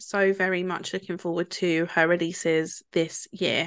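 In a British accent, a woman speaks at a fairly slow pace against a quiet background. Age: 20s. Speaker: podcast co-host. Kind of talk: casual chat.

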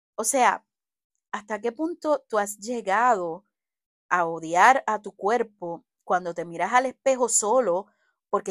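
A woman at a medium pitch speaks at a fairly slow pace in an animated tone with lively intonation, the sound dry and close with no echo in a very clean recording with a silent background. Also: big swings in loudness. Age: 40s. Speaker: podcast host. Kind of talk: solo podcast monologue. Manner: conversational, animated.

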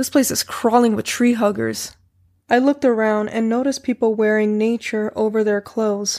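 The delivery is an unforced reading voice.

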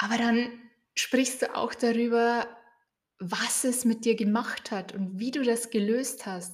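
Calm and soothing, a woman speaks very slowly at a fairly high pitch with fairly even intonation. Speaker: coach and podcast host. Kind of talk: guided meditation. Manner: calm, slow, soothing, with gentle pauses.

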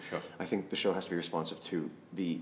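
The talking runs at a fairly quick pace. It comes with a Canadian accent. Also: man. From Saskatchewan, Canada. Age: 30s. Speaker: painter. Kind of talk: casual interview. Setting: artist's studio.

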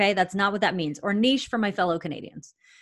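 Recorded very cleanly against a silent background, a woman speaks in an animated tone at medium pitch with ordinary pitch variation. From Canada. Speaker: professional speaker and marketing consultant. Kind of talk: interview.

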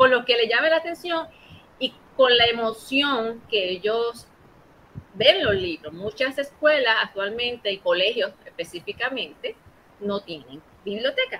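A woman speaks with a high-pitched voice. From Puerto Rico, Ponce. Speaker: librarian. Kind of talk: interview. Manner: halting, many repetitions.

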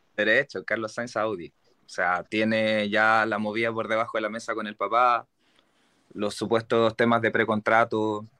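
A man with a Chilean accent speaks at a moderate pace and medium pitch. His intonation is monotone and flat, the sound dry and close with no echo. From Santiago, Chile. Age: 30s. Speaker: Formula 1 fan. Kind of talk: casual chat.

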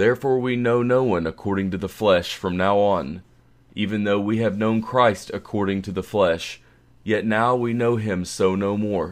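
A man speaks in an ordinary speaking voice at a fairly low pitch. His intonation is fairly even, and the background is quiet. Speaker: scripture reader. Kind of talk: scripture reading. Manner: slow, measured, reverent; formal, solemn.

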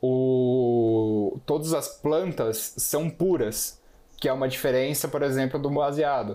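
A very slow male voice with very even loudness and ordinary pitch variation. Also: medium pitch for a man. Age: 20s. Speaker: economics student. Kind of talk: casual podcast discussion.

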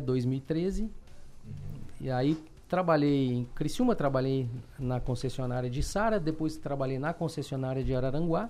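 A man's lively intonation at a moderate pace, with music in the background. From Belo Horizonte, Brazil. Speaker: car salesman and dealership owner. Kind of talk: interview.

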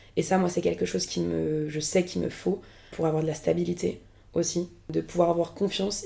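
Her tone dark and mellow with vocal fry, a woman speaks at a fairly quick pace. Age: 20s. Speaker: actress and screenwriter. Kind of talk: casual chat.

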